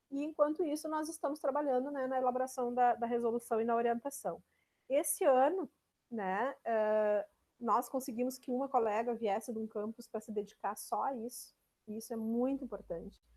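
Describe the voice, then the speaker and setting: The woman's voice is high-pitched, with a dark, mellow tone and ordinary pitch variation. She speaks in a strong gaúcho accent. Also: moderate pace. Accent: strong southern Brazilian (gaúcho). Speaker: university extension administrator and lecturer. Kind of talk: online lecture. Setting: video call. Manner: frequent fillers, conversational.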